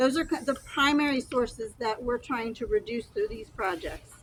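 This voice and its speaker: Noticeable background noise accompanies a woman speaking at a high pitch and a moderate pace. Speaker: county stormwater restoration official. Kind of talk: outdoor field trip explanation. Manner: quiet.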